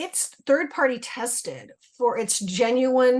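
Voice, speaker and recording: Against a quiet background, a woman speaks with a high pitch. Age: 60s. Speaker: retired school teacher, webinar guest. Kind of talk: testimony.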